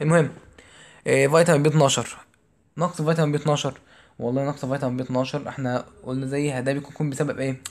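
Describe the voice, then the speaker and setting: With an Egyptian accent, a man speaks at a very fast pace in a monotone, flat intonation. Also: fairly high pitch for a man. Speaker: physiology tutor. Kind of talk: exam review lecture. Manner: loud.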